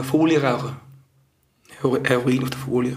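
A man talks at a moderate pace and medium pitch, with an audible room echo around him. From Switzerland, Zurich area. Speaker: former drug user. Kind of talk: testimony. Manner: halting.

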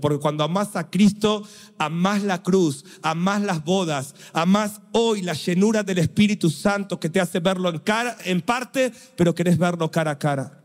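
A man's high-pitched voice moves at a fairly slow pace. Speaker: preacher. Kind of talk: sermon. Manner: animated.

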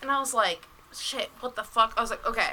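A woman's raised, projected voice at a moderate pace, over noticeable background noise. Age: 20s. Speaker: podcast guest. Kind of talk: casual chat.

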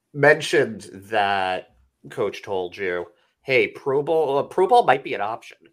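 A man at a moderate pace. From Boston area. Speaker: podcast co-host. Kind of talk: casual chat.

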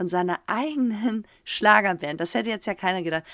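With an animated tone and lively intonation, a woman talks at medium pitch and a moderate pace. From Germany. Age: 30s. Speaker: professional footballer and podcast co-host. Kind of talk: casual chat. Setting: video call.

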